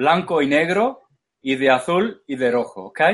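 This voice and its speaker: A man with an English accent speaks very slowly at a fairly high pitch, his intonation lively. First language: English (speaking Spanish). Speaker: esoteric lecturer. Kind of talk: lecture. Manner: halting.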